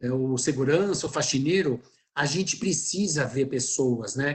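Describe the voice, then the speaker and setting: A man's voice comes across somewhat breathy. His pitch varies in an ordinary way. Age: 60s. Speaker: textile company fashion expert. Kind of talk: webinar panel discussion. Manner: animated.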